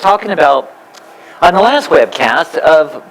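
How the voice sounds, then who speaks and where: The intonation is lively, and noticeable background noise sits behind the voice. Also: man. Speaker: spiritual teacher. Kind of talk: spiritual talk to a live audience.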